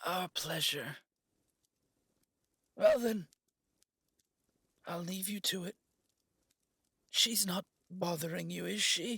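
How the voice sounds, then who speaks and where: A man puts on a raspy character voice, pitched high, speaking at a fairly slow pace with ordinary pitch variation and long, frequent pauses. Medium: audio drama. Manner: warm, gently teasing.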